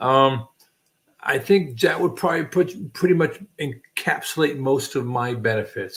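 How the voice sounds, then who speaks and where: This man has an ordinary speaking voice, pitched fairly high. He talks at a fairly slow pace with lively intonation. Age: 60s. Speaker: channel host, military veteran. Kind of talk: casual chat. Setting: livestream.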